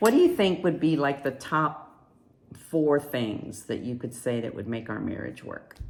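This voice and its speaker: Speaking at a fairly slow pace, a woman with a very deep, low voice uses lively intonation and big swings in loudness. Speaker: married guest sharing about marriage. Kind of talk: casual home video message.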